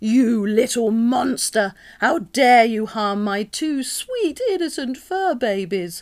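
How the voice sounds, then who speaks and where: Speaking at a fairly slow pace, a woman puts on a character voice. It is shrill and cackling, pitched fairly high. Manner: cross, cackling, hateful.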